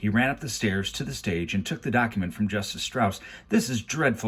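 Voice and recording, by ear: The speaker reads aloud. The voice sounds natural.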